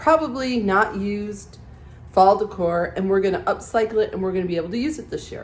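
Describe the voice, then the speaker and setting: The woman's voice is somewhat breathy. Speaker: DIY home decor creator. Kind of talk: tutorial.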